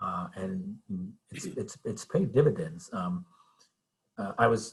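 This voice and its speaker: A man speaks very slowly with vocal fry, very wide pitch swings and big swings in loudness. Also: fairly high pitch for a man. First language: Spanish. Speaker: TV news reporter. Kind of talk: guest talk to a class. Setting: video call.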